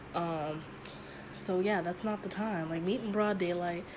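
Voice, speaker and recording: A woman speaks at medium pitch with monotone, flat intonation. Audible room echo and noticeable background noise fill the recording. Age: 20s. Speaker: podcast host. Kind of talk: casual solo monologue.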